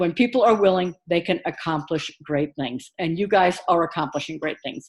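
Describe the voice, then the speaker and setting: A woman's fairly low voice, an unremarkable speaking voice, at a moderate pace with ordinary pitch variation, on a very clean recording with a silent background. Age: 50s. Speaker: online course instructor. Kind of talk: recorded course announcement. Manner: casual, encouraging.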